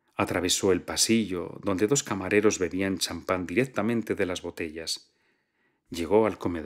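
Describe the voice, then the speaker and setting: A man with a very deep, low pitch and a calm tone, at a moderate pace with ordinary pitch variation, against a quiet background. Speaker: audiobook narrator. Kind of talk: literary audiobook reading. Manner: calm, measured narrator with a fluid, storytelling delivery.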